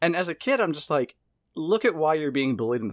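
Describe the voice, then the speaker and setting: A very fast, fairly high-pitched male voice with an American accent and very wide pitch swings, in a very clean recording with a silent background and a dry, close sound with no echo. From US South, Mississippi. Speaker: horror podcast host and writer. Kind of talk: casual chat.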